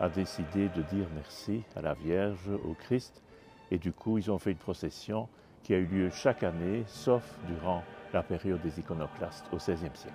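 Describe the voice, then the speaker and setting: A man with a Belgian accent and a very deep, low pitch, at a moderate pace with ordinary pitch variation, music in the background. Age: 70s. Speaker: bishop. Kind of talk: interview.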